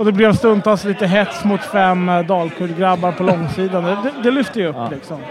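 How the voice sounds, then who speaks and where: Against noticeable background noise, a man talks at a moderate pace in a high pitch with ordinary pitch variation. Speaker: football supporter. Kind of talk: casual chat.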